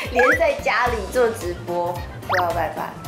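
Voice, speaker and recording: Music plays clearly behind the speaker. She is a woman. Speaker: singer. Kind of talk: interview answer. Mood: animated storytelling, slightly spooked. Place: meeting room.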